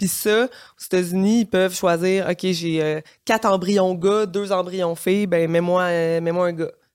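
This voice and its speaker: A woman with a Quebec accent at a medium pitch and fairly slow pace, with fairly even intonation, on a very clean recording with a silent background. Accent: Québécois French. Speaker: single mother by choice, lawyer. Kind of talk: casual interview. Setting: studio.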